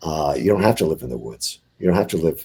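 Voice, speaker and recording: A man's dark, mellow tone with vocal fry and lively intonation. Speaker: bigfoot eyewitness. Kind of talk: interview. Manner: soft-spoken; halting.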